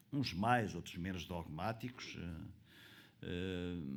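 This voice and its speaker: A man is speaking. His pace is very slow. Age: 70s. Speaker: conference panelist, pensions expert. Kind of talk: panel talk. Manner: halting, many fillers.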